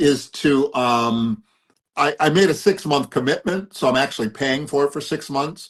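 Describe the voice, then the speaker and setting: A man with an ordinary speaking voice, a fairly high pitch, ordinary pitch variation and a moderate pace. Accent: American. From US East Coast. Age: 60s. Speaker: philanthropist and addiction recovery coach. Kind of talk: interview.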